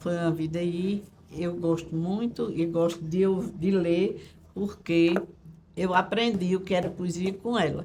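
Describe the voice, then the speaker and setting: The voice has a dark, mellow tone, somewhat breathy, delivered in a monotone with flat intonation at a fairly slow pace. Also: woman, fairly low pitch for a woman. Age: 70s. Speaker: retired schoolteacher, interviewee. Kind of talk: documentary interview. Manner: halting, with repetitions.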